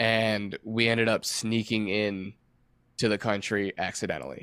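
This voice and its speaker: This man speaks at medium pitch with a Midwestern American accent. His pace is fairly slow and his intonation monotone and flat. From Michigan. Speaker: touring guitarist. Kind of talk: casual chat.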